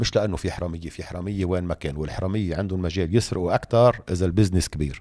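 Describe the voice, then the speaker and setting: Very deep and low, a man's voice rushes along at a very fast pace. His intonation stays fairly even. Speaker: economist and political figure. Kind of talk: interview.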